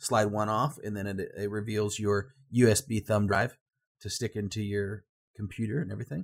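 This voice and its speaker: A man's somewhat breathy, medium-pitched voice at a moderate pace. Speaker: gaming podcast co-host. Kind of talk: casual chat.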